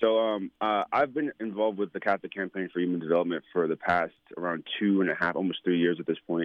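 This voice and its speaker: Talking at a very fast pace, a man with a very deep, low pitch speaks with an American accent. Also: ordinary pitch variation, hardly any pauses. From New York. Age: 20s. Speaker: anti-poverty community organizer. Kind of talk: interview.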